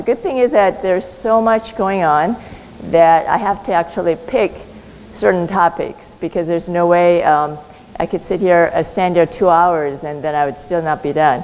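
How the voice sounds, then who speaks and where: Over noticeable background noise, a woman talks at a moderate pace in a fairly low pitch. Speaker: physician and clinical researcher. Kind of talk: conference talk.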